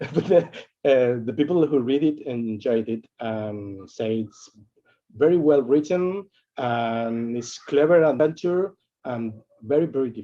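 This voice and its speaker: This man, with a non-native accent, talks at a fairly slow pace in a medium pitch with lively intonation. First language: not English. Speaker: game book author. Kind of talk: interview. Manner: halting, many repetitions.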